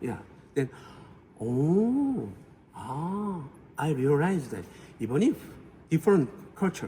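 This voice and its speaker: A man with a Korean accent speaks at a fairly slow pace, with long, frequent pauses. His fairly high voice swings very widely in pitch. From South Korea. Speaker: family therapist. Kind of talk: interview. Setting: conference auditorium. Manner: halting.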